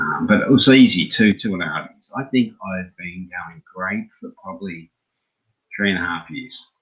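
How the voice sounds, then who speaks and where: A man with an Australian accent and big swings in loudness. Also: moderate pace. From Australia, Brisbane. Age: 60s. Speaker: former Jehovah's Witness. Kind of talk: interview.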